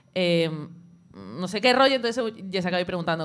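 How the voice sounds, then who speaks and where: A woman's pitch rises and falls in an ordinary way on a very clean recording with a silent background. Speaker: show contributor. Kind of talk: culture segment, casual chat. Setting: café with live audience. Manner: fast.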